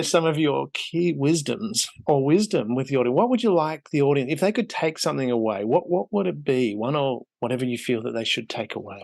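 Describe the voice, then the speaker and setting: Over a quiet background, a man with an Australian accent talks in a fairly high pitch, with very wide pitch swings and hardly any pauses. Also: fairly quick pace. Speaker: podcast host.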